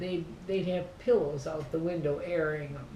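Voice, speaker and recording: A woman with an Upper Midwest accent and a fairly low pitch, at a moderate pace over noticeable background noise. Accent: Upper Midwest American. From southern Minnesota. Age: 80s+. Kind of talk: interview answer. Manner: reminiscing, chatty.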